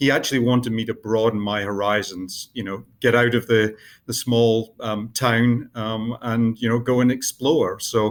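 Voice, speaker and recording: A man's medium-pitched voice with a Scottish accent and fairly even intonation. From northeast Scotland (Buckie). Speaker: biotech company CEO. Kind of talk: interview. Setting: podcast interview. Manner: hesitant, many fillers.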